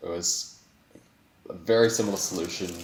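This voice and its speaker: This is a man speaking in a New Zealand accent. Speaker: speedcuber, world record holder. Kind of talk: interview. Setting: online voice call. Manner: animated, with many fillers and restarts.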